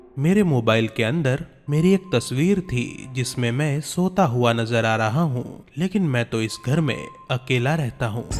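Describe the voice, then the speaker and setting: Lively intonation comes through over music in the background. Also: man, medium pitch for a man. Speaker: voice-over artist. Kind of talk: horror story narration.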